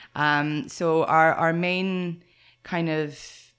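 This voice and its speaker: Her pitch sits very deep and low. The woman's intonation stays monotone and flat. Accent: Irish. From western Ireland, near Galway. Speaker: equestrian centre instructor. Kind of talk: interview.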